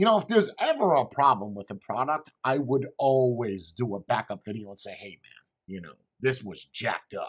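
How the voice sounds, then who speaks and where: A man speaks at a moderate pace with very wide pitch swings and vocal fry, over a quiet background. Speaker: product reviewer. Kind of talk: casual review commentary. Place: home room.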